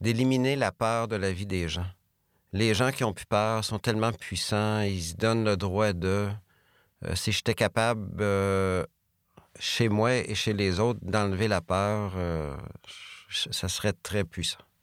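With a Beauce accent, a man speaks very slowly with long, frequent pauses and fairly even intonation, on a very clean recording with a silent background. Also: fairly low pitch for a man. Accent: Quebec French, Beauce. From Quebec, Beauce. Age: 50s. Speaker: business executive. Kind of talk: interview.

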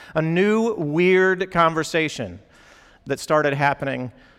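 With a normal speaking voice and ordinary pitch variation, a man talks at a fairly high pitch. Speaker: campus pastor. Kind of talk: sermon. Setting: church gathering with students.

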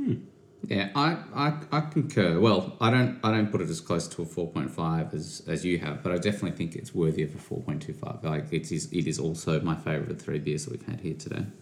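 A man with an Australian accent speaks fairly quickly in a very deep, low voice with lively intonation. Noticeable background noise can be heard. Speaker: podcast host. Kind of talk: casual chat.

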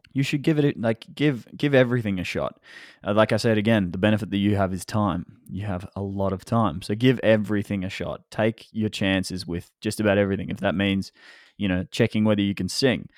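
A man with an Australian accent talks at a fairly quick pace in a fairly low pitch, with ordinary pitch variation and a dry, close sound with no echo. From Australia, Melbourne. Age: 20s. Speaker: photographer and filmmaker. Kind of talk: interview. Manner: halting, many fillers and repeats.

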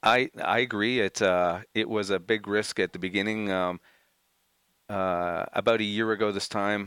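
This man has a fairly low pitch. He speaks in an ordinary speaking voice. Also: fairly even intonation, moderate pace. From Montreal, Canada. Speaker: motocross race team manager. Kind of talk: casual interview. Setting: studio.

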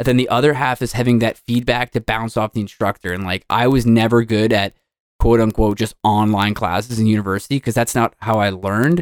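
With an unremarkable speaking voice, the speaker goes at a fairly quick pace and keeps the intonation fairly even, in a dry, close sound with no echo. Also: man, medium pitch for a man. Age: 30s. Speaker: co-host and podcaster. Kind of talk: casual chat.

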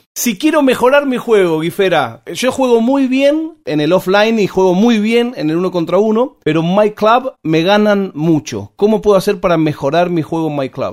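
Lively intonation at a moderate pace with hardly any pauses, in a Rioplatense accent. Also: man, high pitch for a man. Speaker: podcast host. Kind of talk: interview.

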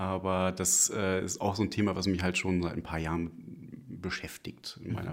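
A man with a very deep, low pitch and vocal fry talks at a fairly slow pace. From northern Germany, near Hamburg. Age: 30s. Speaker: single guest, IT knowledge manager. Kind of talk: casual interview. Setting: studio, face to face. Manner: hesitant, many fillers.

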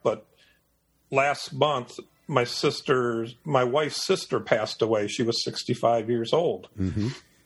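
With an American accent, a man talks at a very slow pace in a somewhat breathy, medium-pitched voice. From Michigan, US Midwest (Detroit). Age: 60s. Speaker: nature and wildlife photographer. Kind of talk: casual interview chat.

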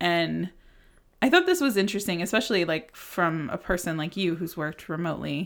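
Fairly low-pitched female voice with vocal fry, a fairly quick pace and ordinary pitch variation, very cleanly recorded over a silent background. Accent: American. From United States. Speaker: podcast host. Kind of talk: casual interview chat. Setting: recording in person, shared microphone. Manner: fast talker.

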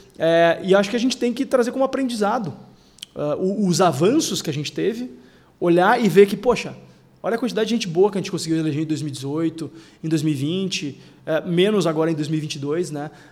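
Lively intonation at a moderate pace. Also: man, high pitch for a man. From Porto Alegre, Rio Grande do Sul, Brazil. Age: 30s. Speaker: state legislator. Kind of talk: podcast interview.

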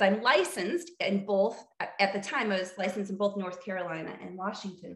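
A woman's bright, sharp tone in an American accent, medium in pitch, at a moderate pace. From US Midwest, central Illinois. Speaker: therapist. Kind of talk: casual interview.

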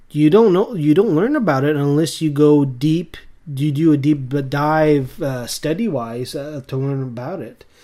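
A man's fairly high-pitched, plain, everyday voice with an American accent and ordinary pitch variation. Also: fairly slow pace. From eastern Canada, rural area along the US border. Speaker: podcast co-host. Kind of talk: casual chat.

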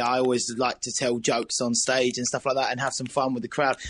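With an Essex accent, a man talks at a fairly quick pace. His pitch is medium. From Essex, East England. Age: 20s. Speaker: band vocalist. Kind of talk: casual interview. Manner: halting.

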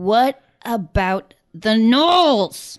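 A female-sounding put-on character voice with a fairly high pitch takes on a grumpy tone. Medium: actual play. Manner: grumpy, exasperated.

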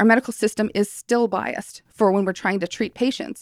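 The recording is very clean with a silent background and a dry, close sound with no echo. A woman speaks at a medium pitch and a moderate pace in an energetic tone. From northern Ontario First Nation, Canada. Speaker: mature medical student, former military medic. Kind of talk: casual interview chat.

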